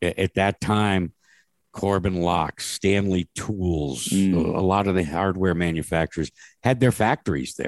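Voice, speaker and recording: A man's very deep, low voice at a fairly slow pace, with ordinary pitch variation and a dry, close sound with no echo. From Connecticut, US. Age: 70s. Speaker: broadcaster and racing podcaster. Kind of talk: casual interview conversation.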